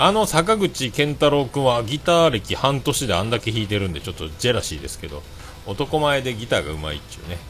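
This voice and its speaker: A man speaks at a medium pitch, his voice swinging very widely up and down. Noticeable background noise runs underneath. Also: fairly quick pace, big swings in loudness. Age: 40s. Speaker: livestreamer and podcaster. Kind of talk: solo livestream chat. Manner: casual, filler-heavy.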